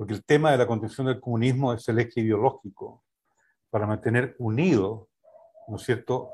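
A man speaks at medium pitch and a moderate pace. His voice is somewhat breathy, with ordinary pitch variation. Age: 70s. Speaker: sociologist and UN official. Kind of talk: political analysis discussion.

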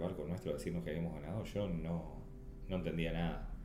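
Audible room echo around a man's voice, its pitch varying in an ordinary way. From Uruguay. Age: 50s. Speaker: Olympic sailor. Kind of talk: interview. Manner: halting, repeats words.

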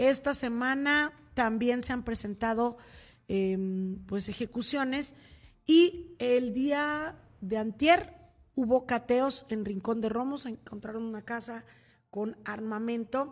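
Delivered at a very slow pace with ordinary pitch variation, the speech sits on a very clean recording with a silent background. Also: woman, high pitch for a woman. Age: 40s. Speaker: news anchor. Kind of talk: news show with casual commentary. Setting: studio, live stream.

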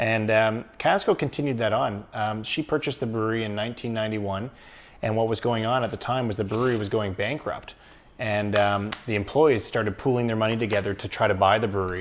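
A man with a Canadian accent talks at a very fast pace. His fairly low pitch stays in a fairly even intonation. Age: 30s. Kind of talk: casual interview.

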